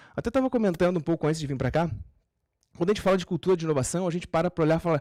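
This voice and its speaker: A man's high-pitched voice with a dark, mellow tone, dry and close with no echo, in a very clean recording with a silent background. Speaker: podcast host and startup consultant giving a talk. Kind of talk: live talk to an audience. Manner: fast.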